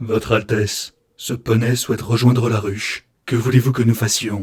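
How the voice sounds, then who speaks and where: Putting on a hissing character voice, a man speaks at a medium pitch in a monotone, flat way. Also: moderate pace. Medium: read story.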